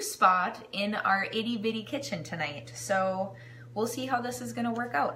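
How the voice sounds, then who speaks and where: A woman's bright, sharp tone carries a fairly high pitch at a moderate pace, with audible room echo around it. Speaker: home cooking live streamer and kitchenware consultant. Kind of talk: casual live-stream cooking demo.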